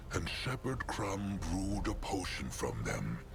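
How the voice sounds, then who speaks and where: A whispered, put-on character voice over loud background noise. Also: man. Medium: machinima. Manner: formal, speaks in third person.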